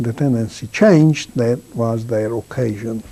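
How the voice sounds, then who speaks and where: A man speaks with a Hungarian accent at a very slow pace. His tone is dark and mellow, with lively intonation. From Hungary. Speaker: Holocaust survivor. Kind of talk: testimony.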